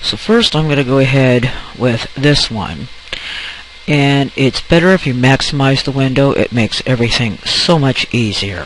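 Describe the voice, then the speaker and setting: Noticeable background noise runs under this recording. The man's voice shows ordinary pitch variation. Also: medium pitch for a man, moderate pace. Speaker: photo editing tutorial maker. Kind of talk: tutorial.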